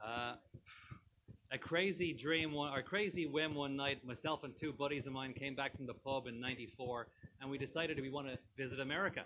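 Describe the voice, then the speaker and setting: A man with an Irish accent speaks at a fairly quick pace. His tone is bright and sharp, fairly high in pitch with ordinary pitch variation. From Ireland, Dublin. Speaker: tavern owner. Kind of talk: casual interview chat. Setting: live stream on location in a tavern.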